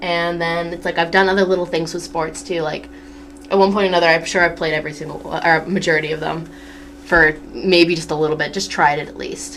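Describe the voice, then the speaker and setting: Over noticeable background noise, a woman with an American accent speaks at a fairly quick pace, with a fairly low pitch and ordinary pitch variation. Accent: Boston accent, slips out occasionally. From Massachusetts, New England. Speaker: student radio host. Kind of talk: casual radio talk show monologue. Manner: chatty, filler-heavy.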